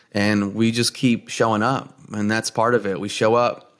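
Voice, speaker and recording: In a New Jersey accent, a man talks at a moderate pace with a fairly low pitch, on a very clean recording with a silent background. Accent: New Jersey American. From US Northeast, New Jersey. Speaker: podcast host. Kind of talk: casual chat.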